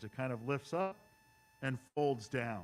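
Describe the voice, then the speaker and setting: The speaker talks at a moderate pace with lively intonation while music plays in the background. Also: man. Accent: American. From US Midwest, Chicago suburbs. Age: 60s. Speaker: model railroader, clinic presenter. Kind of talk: presentation to hobby club. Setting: event hall with live audience and Zoom stream.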